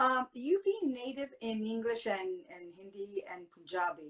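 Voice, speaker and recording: The pace is fairly slow. Pitch swings very widely. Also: woman. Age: 50s. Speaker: talk show host. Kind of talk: interview.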